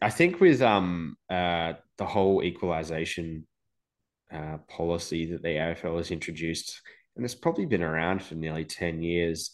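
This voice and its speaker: Against a quiet background, a man talks at a moderate pace with a very deep, low pitch and fairly even intonation. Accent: Australian. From Adelaide, South Australia. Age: 30s. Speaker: football fan. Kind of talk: casual chat.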